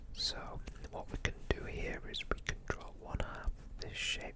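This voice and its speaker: A man whispers at a fairly slow pace in a relaxed tone over noticeable background noise. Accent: British. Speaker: ASMR YouTuber and hobbyist 3D modeller. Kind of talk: quiet ASMR tutorial narration. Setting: close-up microphone. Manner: quiet, whispery, relaxed.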